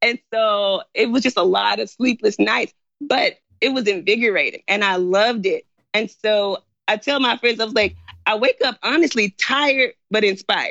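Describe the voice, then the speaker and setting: A woman with an American accent speaks in a plain, everyday voice at a fairly high pitch, keeping a moderate pace and ordinary pitch variation. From US South, Memphis, Tennessee. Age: 20s. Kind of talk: interview.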